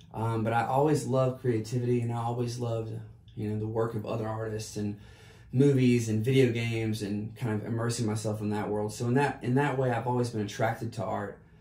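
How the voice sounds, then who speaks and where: Amid noticeable background noise and audible room echo, a man with an American accent talks fairly quickly at a medium pitch in a monotone, flat way. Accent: slight Southern, stronger after a drink. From US South, South Carolina. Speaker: artist and entrepreneur. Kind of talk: casual interview.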